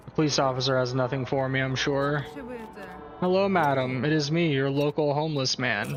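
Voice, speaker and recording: A man talks at a moderate pace in a fairly high voice. Noticeable background noise runs under his speech. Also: very even loudness. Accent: American. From Michigan Upper Peninsula, US. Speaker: gaming streamer. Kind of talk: let's play commentary. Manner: animated.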